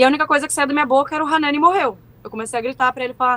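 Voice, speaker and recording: The speaker is a woman with a high-pitched voice. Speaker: war survivor. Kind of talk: testimony.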